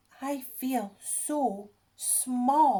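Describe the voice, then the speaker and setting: A woman puts on a character voice. Her pitch is high. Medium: read story. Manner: wistful.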